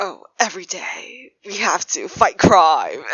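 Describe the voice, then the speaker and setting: Someone uses a put-on character voice with a fairly high pitch at a fairly slow pace. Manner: overly serious, performative.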